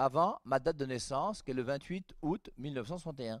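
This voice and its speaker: Over a quiet background, a man speaks at a very slow pace in dry sound with no echo. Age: 60s. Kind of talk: catechetical teaching talk. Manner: animated. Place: studio. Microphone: headset.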